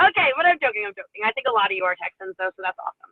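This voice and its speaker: Her voice fairly high in pitch, a woman speaks with lively intonation. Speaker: network marketing leader. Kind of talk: training talk. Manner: fast.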